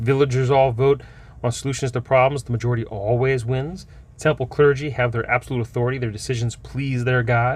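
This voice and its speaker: Somewhat breathy, this man's voice follows fairly even intonation. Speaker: game store owner reviewing tabletop books. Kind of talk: product review. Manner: fast.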